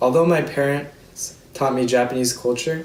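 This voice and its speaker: Here a man talks with an American accent at a medium pitch and ordinary pitch variation. Noticeable background noise and audible room echo come through. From Seattle, US Pacific Northwest. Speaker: student speaker. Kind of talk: prepared speech. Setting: virtual ceremony.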